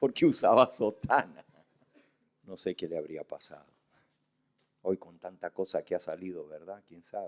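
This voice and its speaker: A man's fairly slow speech with long, frequent pauses and big swings in loudness, in a dry, close sound with no echo. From Argentina, Santa Fe. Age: 60s. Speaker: pastor. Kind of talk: sermon.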